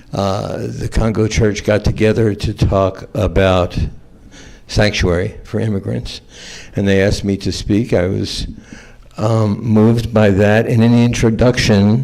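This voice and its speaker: Speaking with an American accent, a man with a fairly low pitch goes at a fairly slow pace with fairly even intonation. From US South, Atlanta, Georgia. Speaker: trial attorney on a panel. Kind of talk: panel talk, personal story. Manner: halting, many fillers.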